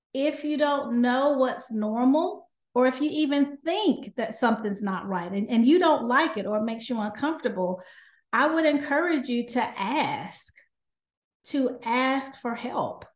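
In a Southern US accent, a woman with a high pitch speaks at a fairly slow pace with lively intonation. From US South. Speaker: doctor. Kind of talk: interview.

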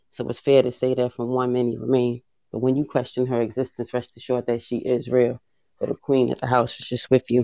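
Dry and close with no echo, a man's medium-pitched voice moves at a fairly quick pace. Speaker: poet and teacher. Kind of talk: spoken word poem performance.

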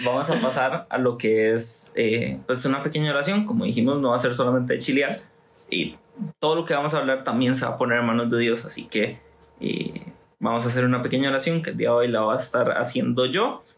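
A man with a medium pitch speaks at a fairly quick pace. His pitch varies in an ordinary way, and background noise is noticeable. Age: 20s. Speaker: youth group leader. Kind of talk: casual chat.

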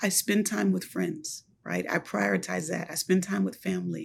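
The speaker has an American accent. Their pitch swings very widely. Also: woman. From US, Buffalo, New York. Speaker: university administrator. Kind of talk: interview.

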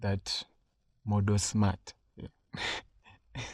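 A man's fairly low, dark and mellow voice, somewhat breathy, with a dry, close sound with no echo on a very clean recording over a silent background. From Uganda. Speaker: podcast host. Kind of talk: solo monologue, personal story and advice. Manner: casual, with hesitations.

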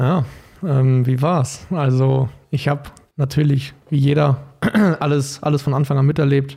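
A man with a dark, mellow tone and a somewhat breathy voice speaks at a fairly high pitch and moderate pace, his intonation monotone and flat. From Germany, Paderborn (Westphalia). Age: 20s. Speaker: American football quarterback. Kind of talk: casual interview.

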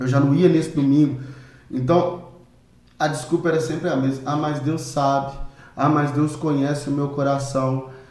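This man's voice sits fairly high and stays monotone and flat at a moderate pace. Long pauses come often, and room echo can be heard. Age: 30s. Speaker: missionary and drummer, hair salon worker. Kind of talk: casual chat. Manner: halting.

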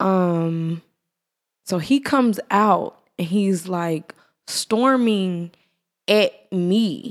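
A woman with an American accent speaks at medium pitch with ordinary pitch variation. Her pace is very slow, with long, frequent pauses. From Irving, Texas. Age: young. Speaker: podcast co-host. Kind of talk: casual chat.

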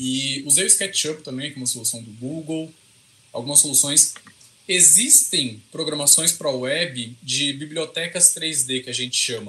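Fairly slow speech from a man, fairly high-pitched, its pitch varying in an ordinary way. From interior of São Paulo state, Brazil. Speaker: computer scientist and researcher. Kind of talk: casual interview.

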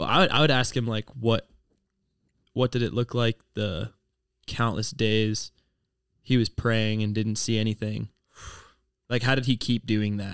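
In a very clean recording with a silent background and a dry, close sound with no echo, a man with an American accent talks at a medium pitch. His pace is fairly slow, his intonation fairly even, and he takes long, frequent pauses. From Ohio. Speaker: ministry student. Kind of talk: casual chat.

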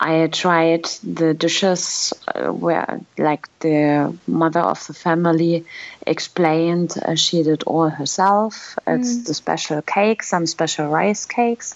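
A woman with a German accent, fairly low pitch, very slow pace. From Germany. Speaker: language school director. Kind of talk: interview.

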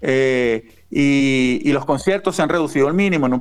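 With ordinary pitch variation, the man speaks in an ordinary speaking voice. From Venezuela. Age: 40s. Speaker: author and punk zine editor. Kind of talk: interview.

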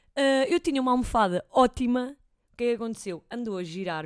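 A woman speaks at a very fast pace with lively intonation on a very clean recording with a silent background. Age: 20s. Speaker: host's sister, footballer. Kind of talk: casual chat.

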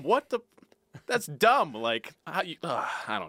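A man speaks in a raised, projected voice with a bright, sharp tone. His pitch swings very widely, and the sound is dry and close with no echo. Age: 30s. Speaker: writer, new podcast co-host. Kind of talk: casual chat.

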